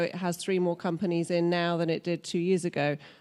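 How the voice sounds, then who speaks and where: A woman with a British accent, fairly low-pitched, at a moderate pace, on a very clean recording with a silent background. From UK. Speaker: business executive. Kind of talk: panel discussion. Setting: stage with audience.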